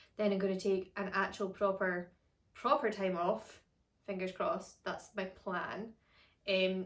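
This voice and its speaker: A woman speaks at a moderate pace in a Scottish accent. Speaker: harp teacher. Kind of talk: casual chat. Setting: at home.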